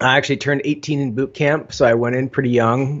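The pace is fairly quick, with ordinary pitch variation. A man is speaking against a quiet background. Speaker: podcast guest. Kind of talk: interview answer. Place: home room. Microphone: studio mic.

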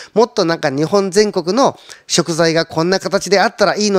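Over a quiet background, a man with a high pitch talks at a fairly quick pace in a dry sound with no echo. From Shizuoka, Japan. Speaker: trading company representative. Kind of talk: conference talk. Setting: online seminar. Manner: polite, filler-heavy. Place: studio. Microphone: handheld.

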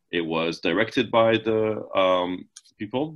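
Against a quiet background, a man's voice shows ordinary pitch variation. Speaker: marketing presenter; presenter. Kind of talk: webinar presentation. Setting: video call. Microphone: webcam.

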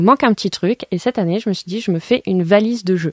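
The background behind this woman is quiet. The sound is dry with no echo. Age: 20s. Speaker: board game shop worker; guest. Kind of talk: radio interview. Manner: hesitant, many fillers. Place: studio.

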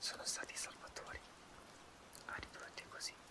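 Whispering, a man speaks at a fairly slow pace. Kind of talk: role-play monologue to viewer. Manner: soft close-mic ASMR murmur. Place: home room. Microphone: phone near.

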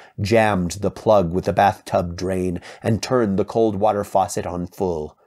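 Simple, plain reading aloud

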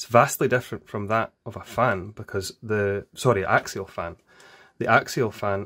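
Against a quiet background, a man with a fairly low pitch speaks at a fairly slow pace and fairly even intonation. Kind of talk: tutorial. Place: workshop.

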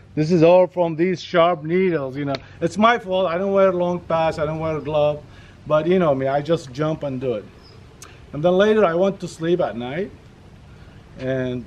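A man speaks at a moderate pace with ordinary pitch variation. He leaves long, frequent pauses. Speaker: vlogger. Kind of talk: casual vlog chat. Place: garden. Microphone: camera far.

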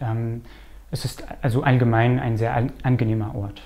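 A man talks at a fairly slow pace. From Canada. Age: 20s. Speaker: librarian. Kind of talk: interview. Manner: hesitant. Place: office. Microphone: lapel.

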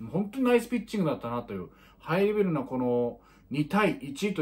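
Speaking very fast, a man's somewhat breathy voice moves through very wide pitch swings. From Miyagi, Japan (Tohoku). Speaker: high school baseball commentator; baseball commentator vlogger. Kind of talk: casual sports commentary monologue. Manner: many filler words (えー, まあ). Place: home room. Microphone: phone near.

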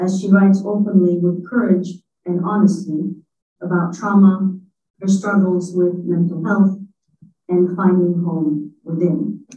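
In a room with audible echo and light background noise, a woman speaks in a monotone, flat intonation. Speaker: history professor and event organizer. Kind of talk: formal event introduction. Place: hall.

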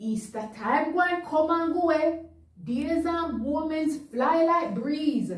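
A woman's high-pitched voice with a Jamaican accent, very slow, in audible room echo. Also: ordinary pitch variation. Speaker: news reader. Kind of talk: dialect poetry reading for children. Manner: comedic, performed. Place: studio.

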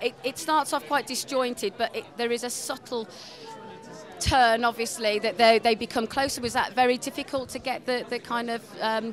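A woman with a fairly high voice talks at a fairly quick pace with ordinary pitch variation. Crowd noise sits in the background, and the sound is dry with no echo. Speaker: entertainment interviewer. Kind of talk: red carpet interview. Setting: film festival premiere. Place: hall. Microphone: handheld.

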